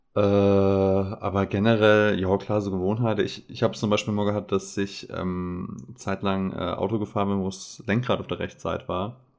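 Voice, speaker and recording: A man talks at a moderate pace, with hardly any pauses and a monotone, flat intonation. The recording is very clean, the background silent. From Saarland. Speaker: podcast co-host. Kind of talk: casual chat.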